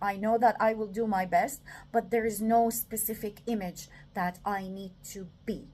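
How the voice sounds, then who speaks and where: Fairly slow and with fairly even intonation, a woman speaks with a non-native accent. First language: not English. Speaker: self-development talker. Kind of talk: reflective monologue. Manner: halting, many fillers.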